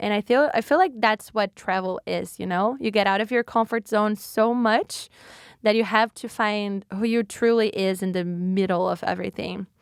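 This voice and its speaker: With a Brazilian accent, a woman speaks at a moderate pace with ordinary pitch variation in a very clean recording, the background silent and the sound dry and close with no echo. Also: fairly high pitch for a woman. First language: Portuguese. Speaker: podcast host. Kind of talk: casual solo podcast talk. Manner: halting, self-correcting.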